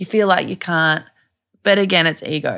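A woman's medium-pitched voice, bright and sharp in tone, with an Australian accent and ordinary pitch variation, on a very clean recording with a silent background. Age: 20s. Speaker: mother and blogger. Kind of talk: casual chat. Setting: recorded in a bed.

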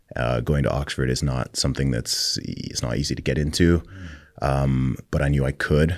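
This man has an American accent and a very deep, low pitch. He talks at a moderate pace with fairly even intonation. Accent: American, never British. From Saudi Arabia, American international school. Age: 30s. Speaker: rapper. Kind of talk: interview.

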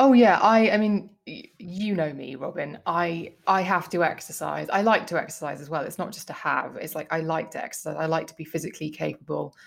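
The speech runs at a fairly quick pace with hardly any pauses, lively intonation and vocal fry. Loudness swings widely from moment to moment. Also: woman, fairly low pitch for a woman. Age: 40s. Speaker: beauty journalist and podcaster. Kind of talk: casual chat.

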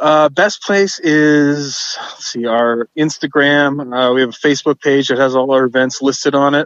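With a normal speaking voice, a man talks at a moderate pace, his pitch fairly high, his intonation fairly even and his loudness very even. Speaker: band member. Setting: phone call.

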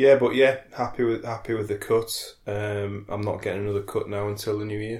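A man speaks fairly quickly at a fairly low pitch, somewhat breathy, in a monotone, flat intonation. The recording is very clean, with a silent background. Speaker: podcast co-host. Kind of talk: casual chat.

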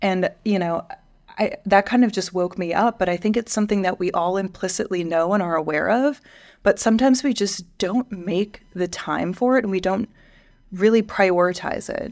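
A woman's normal speaking voice with an American accent at a medium pitch and moderate pace, ordinary pitch variation, on a very clean recording with a silent background. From US Midwest. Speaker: podcast co-host, higher education professional. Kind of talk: casual chat.

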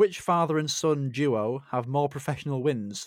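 A man's fairly high pitch and an ordinary speaking voice at a fairly slow pace, on a very clean recording with a silent background. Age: 20s. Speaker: podcast host, kidney transplant recipient. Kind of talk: casual interview chat.

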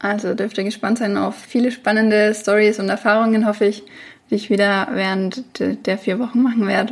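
Speaking at a moderate pace, a woman keeps her fairly high voice in a monotone, flat intonation. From Franconia, Germany (near Bamberg). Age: 30s. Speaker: podcast host and online French teacher. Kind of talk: solo podcast monologue.

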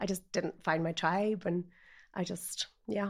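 With a Northern Irish accent, a woman speaks at medium pitch and a fairly slow pace in monotone, flat intonation. The recording is very clean, with a silent background. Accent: Northern Irish (Ulster). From Northern Ireland, north Antrim. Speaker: life coach. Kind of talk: personal testimony interview.

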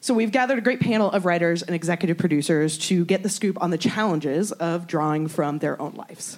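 A woman talks at a very fast pace with hardly any pauses. Her pitch varies in an ordinary way. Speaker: panel moderator. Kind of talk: moderated panel discussion. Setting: stage with audience.

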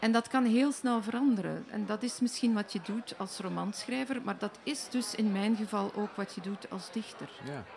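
Over noticeable background noise, a woman speaks at a moderate pace with hardly any pauses, her fairly high pitch showing ordinary variation. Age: 50s. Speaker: poet and novelist. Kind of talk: interview conversation; reading poetry aloud. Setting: live in a festival foyer.

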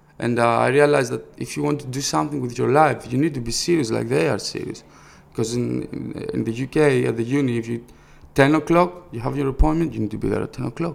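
With a Greek accent, a man of medium pitch speaks at a very fast pace and with lively intonation. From Greece, Thessaloniki. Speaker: rapper and record label founder. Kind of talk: interview.

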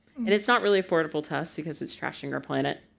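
Speaking very fast in an American accent, a woman shows vocal fry and lively intonation in a very clean recording with a silent background. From United States. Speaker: writer. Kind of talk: live on-stage conversation. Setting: stage with audience.

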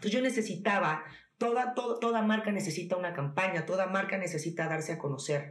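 Amid noticeable background noise and audible room echo, a woman speaks at a very fast pace and medium pitch, with lively intonation and very even loudness. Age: 30s. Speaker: entrepreneur, skincare brand founder. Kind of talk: casual interview.

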